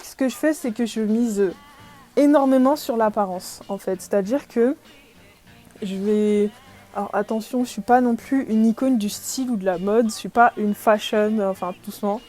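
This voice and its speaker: Music plays behind a woman speaking at a moderate pace. Her fairly high voice swings widely in loudness. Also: ordinary pitch variation. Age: 20s. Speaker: podcaster. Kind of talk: casual chat. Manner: hesitant, many fillers.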